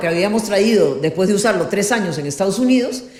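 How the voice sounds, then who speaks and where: In a room with audible echo, a woman talks at a very fast pace in a medium pitch. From Peru, Lima. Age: 70s. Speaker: politician and former journalist. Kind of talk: interview, life story.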